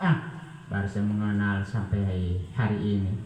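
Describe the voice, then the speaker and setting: A man talks amid noticeable background noise, with audible room echo in the space. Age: 60s. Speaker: church member giving testimony. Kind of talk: testimony.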